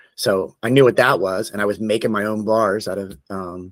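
A man with an American accent talks at a moderate pace and fairly low pitch, in a plain, everyday voice. The recording is very clean, with a silent background. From Florida (Tallahassee). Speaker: tattoo artist and shop owner. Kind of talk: casual chat.

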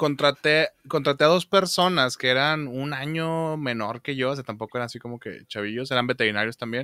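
A man of medium pitch talks at a fairly quick pace with hardly any pauses, his bright, sharp tone showing ordinary pitch variation and big swings in loudness, in a very clean recording with a silent background and a dry, close sound with no echo. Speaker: podcast host, retired veterinarian. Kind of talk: casual chat.

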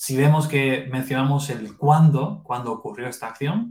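A man talks in a medium pitch, his voice somewhat breathy, moving at a moderate pace. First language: Spanish. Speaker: English teaching podcast host. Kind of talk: bilingual English lesson. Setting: live stream.

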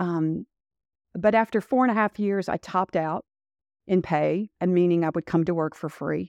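Against a quiet background, a woman speaks with a fairly low pitch. Her intonation has ordinary pitch variation. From Louisville, Kentucky. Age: 60s. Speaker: retired police chief. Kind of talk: interview.

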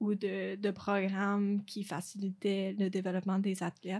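Her voice sits at a medium pitch. The tone comes across dark and mellow. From Quebec, Eastern Townships (Lac-Brome). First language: English (speaking French). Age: 20s. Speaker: university tennis player. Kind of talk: interview.

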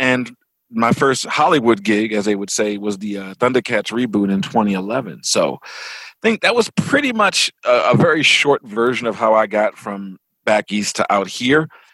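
With an American accent, a bright, sharp tone comes at a moderate pace in a dry, close sound with no echo. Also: man. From Baltimore, Maryland, US. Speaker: comics and TV writer. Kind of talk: interview.

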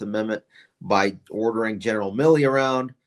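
An ordinary speaking voice with an American accent moves at a fairly quick pace. Pitch variation is ordinary. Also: man. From upstate New York. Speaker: retired army officer. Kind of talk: political interview.

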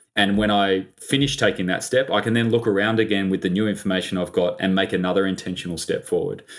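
A man with an Australian accent, fairly low pitch, fairly even intonation, a very fast pace and hardly any pauses. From Australia, Sydney. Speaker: business investor and advisor. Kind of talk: interview.

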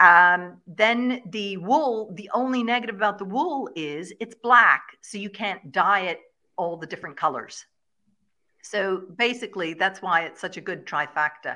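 The voice has a bright, sharp tone and lively intonation. It moves at a moderate pace. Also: woman. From Ireland, Kilkenny. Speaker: shepherd and regenerative farmer. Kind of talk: interview.

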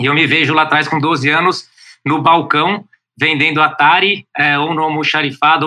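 A man's fairly high-pitched voice, bright and sharp in tone, at a moderate pace. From São Paulo, Brazil. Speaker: startup founder. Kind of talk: interview.

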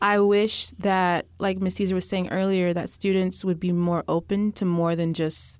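A woman with an American accent in an ordinary speaking voice, at a fairly low pitch and a moderate pace with fairly even intonation, in a very clean recording with a silent background. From Texas. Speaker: medical student. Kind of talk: casual interview chat.

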